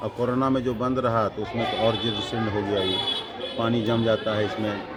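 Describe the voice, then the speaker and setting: A man speaks at a moderate pace and medium pitch with fairly even intonation, while crowd noise and audible room echo fill the background. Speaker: school headmaster. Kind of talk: interview.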